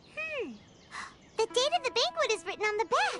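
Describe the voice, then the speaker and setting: In a put-on character voice, the speaker sounds bubbly at an extremely high pitch. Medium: video game. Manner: bubbly, chatty.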